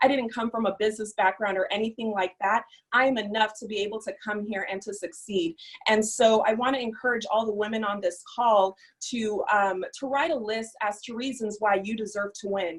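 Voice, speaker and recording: Using a plain, everyday voice, a woman talks at a fairly quick pace with a fairly high pitch and fairly even intonation. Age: young. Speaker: entrepreneur, former social worker. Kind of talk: testimony.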